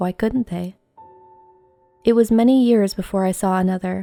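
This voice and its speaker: Over music in the background, a woman speaks at a moderate pace in a monotone with flat intonation, the sound dry and close with no echo. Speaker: creepypasta narrator. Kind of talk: horror story narration.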